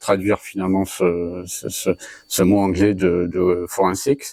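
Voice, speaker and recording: The dry, close sound with no echo carries a man's dark, mellow tone at a fairly low pitch. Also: very clean recording, silent background. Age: 40s. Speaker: cybersecurity trainer and consultant. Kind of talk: interview. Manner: halting, many filler hesitations.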